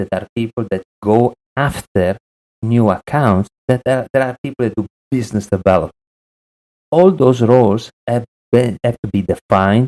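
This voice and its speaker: With an Italian accent and a dark, mellow tone, the voice moves at a moderate pace with ordinary pitch variation, in a dry, close sound with no echo. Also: man, medium pitch for a man. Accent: Italian, lasting. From Italy. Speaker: sales consultant. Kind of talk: podcast interview.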